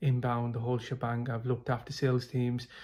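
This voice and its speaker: A man with a British accent, a medium pitch and a dark, mellow, somewhat breathy tone, in a very clean recording with a silent background. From UK. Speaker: sales professional, program client. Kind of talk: testimonial. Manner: hesitant, many fillers.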